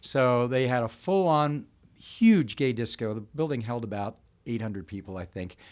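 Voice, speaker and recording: In an ordinary speaking voice, a man talks at medium pitch and moderate pace with lively intonation on a very clean recording with a silent background. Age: 60s. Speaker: business owner. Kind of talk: interview storytelling.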